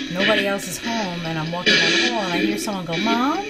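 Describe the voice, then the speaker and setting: A woman speaks over loud background music. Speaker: paranormal vlogger. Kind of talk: casual vlog chat. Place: home room. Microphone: phone near.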